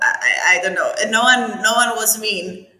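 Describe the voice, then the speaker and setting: A woman's voice moves at a moderate pace. Room echo is audible around it. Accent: strong Cypriot. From Cyprus. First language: Greek. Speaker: architect. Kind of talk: interview.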